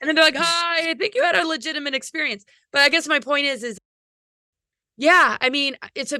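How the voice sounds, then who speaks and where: Her tone is bright and sharp. This woman speaks with lively intonation. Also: dry, close sound with no echo, very clean recording, silent background. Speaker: spiritual speaker. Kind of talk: casual chat. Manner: fast; halting.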